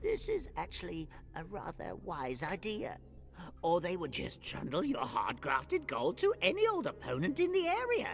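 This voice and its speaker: Over clear music in the background, a man uses a put-on character voice at a moderate pace. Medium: video game. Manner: deferential, keeps saying master.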